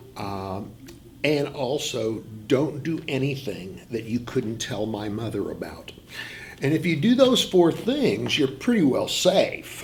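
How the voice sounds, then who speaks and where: A man talks at a fairly slow pace with very wide pitch swings, with audible room echo and noticeable background noise in the recording. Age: 60s. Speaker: high school English teacher. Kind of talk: interview. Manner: halting.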